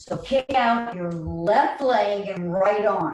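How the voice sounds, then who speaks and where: Her tone comes across as animated. The woman's pitch sits in the medium range. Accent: New York. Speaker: chair yoga teacher. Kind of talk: guided exercise class.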